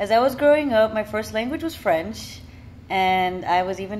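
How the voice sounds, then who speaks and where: A woman speaks with a Florida accent. Her pace is moderate. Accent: American, Florida. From Miami, Florida. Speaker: vlogger. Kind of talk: personal monologue. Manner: casual.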